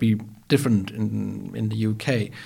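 A man speaks with a Danish accent. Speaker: podcast host. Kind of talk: interview conversation. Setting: studio. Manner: hesitant, many fillers.

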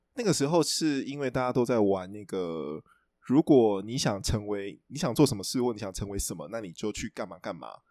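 Over a very clean recording with a silent background, a man with a dark, mellow tone talks fairly quickly, his intonation lively and his loudness swinging widely. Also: fairly low pitch for a man. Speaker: book editor. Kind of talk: casual chat.

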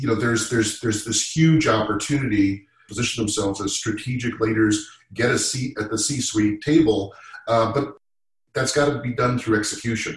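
A man with an American accent speaks at a moderate pace and medium pitch. He has an unremarkable speaking voice and fairly even intonation. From Massachusetts. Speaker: sales leader. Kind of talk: panel discussion.

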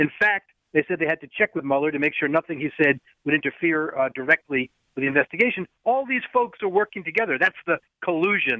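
A normal speaking voice at a fairly quick pace, the intonation lively throughout. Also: man. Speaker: legal analyst. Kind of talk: radio interview.

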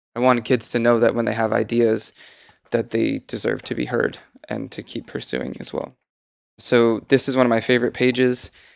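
Over a silent background in a very clean recording, a man talks at a fairly quick pace. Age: 30s. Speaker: entrepreneur and children's book author. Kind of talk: casual chat. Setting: studio.

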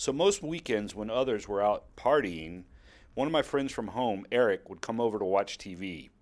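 A man with an American accent and a plain, everyday voice, moderate pace, lively intonation, on a very clean recording with a silent background. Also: medium pitch for a man. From US South. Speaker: personal essayist. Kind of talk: reading aloud a personal essay.

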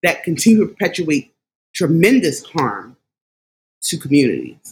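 This woman speaks at a moderate pace in a fairly low, somewhat breathy voice. Her intonation is lively, with a Philadelphia accent. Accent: Philadelphia American English. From Philadelphia, US. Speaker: behavior analyst. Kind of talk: casual conversation about anti-racism.

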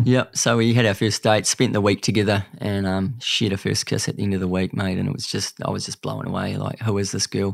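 A man with a New Zealand accent talks at a fairly quick pace and a fairly low pitch. His intonation is monotone and flat. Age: 30s. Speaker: cancer survivor and speaker. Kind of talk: casual chat.

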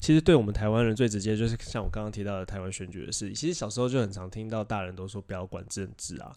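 A man with a fairly low pitch and a dark, mellow tone talks at a very fast pace with hardly any pauses. His pitch varies in an ordinary way, while his loudness swings widely. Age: 20s. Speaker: podcast co-host. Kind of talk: casual chat.

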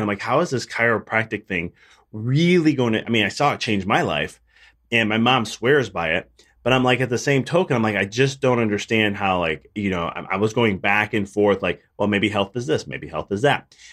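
A man with a Chicago accent speaks at a moderate pace in a medium pitch with lively intonation, on a very clean recording with a silent background. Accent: Chicago American. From Chicago, US. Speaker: chiropractor and business coach. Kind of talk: interview conversation.

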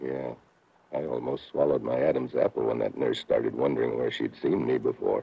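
A man's put-on character voice, extremely low in pitch with vocal fry, a slightly husky edge, fairly even intonation and a moderate pace

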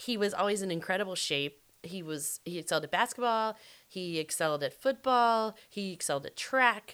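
A woman's plain, everyday voice at medium pitch, with an American accent, lively intonation and a moderate pace, on a very clean recording with a silent background. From US South. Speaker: true crime podcast co-host. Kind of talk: casual chat.

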